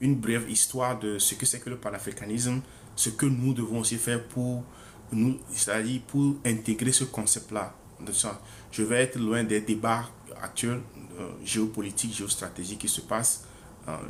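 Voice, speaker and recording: The speech moves at a moderate pace in a monotone, flat intonation, with long, frequent pauses. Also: man, medium pitch for a man. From Togo. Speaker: author presenting his book. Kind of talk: book presentation livestream. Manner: hesitant, many fillers and repetitions.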